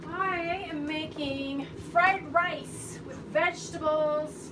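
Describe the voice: Very slow delivery with ordinary pitch variation over clear background noise. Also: woman.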